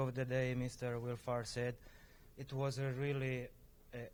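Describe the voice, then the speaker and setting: A man with a strong Sicilian accent and a fairly high pitch. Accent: heavy Sicilian Italian. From Sicily. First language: Italian. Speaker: viticulturist. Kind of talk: panel discussion. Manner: halting, many fillers.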